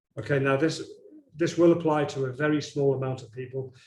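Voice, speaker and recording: This man's voice is somewhat breathy and fairly high in pitch. He keeps a moderate pace and fairly even intonation. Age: 60s. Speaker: chiropractor. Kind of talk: webinar presentation. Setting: online webinar.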